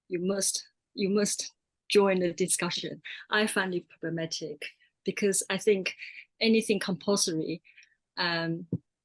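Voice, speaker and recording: A woman speaks with a Mandarin accent, her intonation fairly even and broken by long, frequent pauses. The sound is dry and close, with no echo. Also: medium pitch for a woman, fairly slow pace, quiet background. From Taiwan. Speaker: artist filmmaker and lecturer. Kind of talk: panel discussion.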